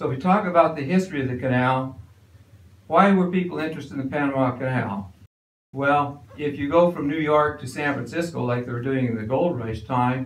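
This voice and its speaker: Fairly quick speech comes from a man whose pitch varies in an ordinary way. The room adds audible echo. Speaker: resident lecturer. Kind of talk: lecture. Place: hall.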